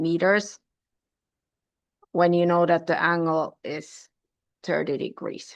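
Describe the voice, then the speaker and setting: With a non-native accent, a woman speaks very slowly at a fairly low pitch, in flat, monotone intonation broken by long, frequent pauses. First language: not English. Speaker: mathematics teacher. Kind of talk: lecture. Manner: halting, with fillers.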